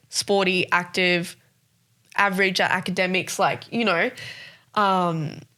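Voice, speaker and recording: With a strong Australian accent, a woman speaks in a bright, sharp, flat monotone at a fairly slow pace, leaving long, frequent pauses, on a very clean recording with a silent background. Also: medium pitch for a woman. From South Africa, Johannesburg, moved to Sydney at ten. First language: Afrikaans. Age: 20s. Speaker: podcast co-host. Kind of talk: casual interview chat.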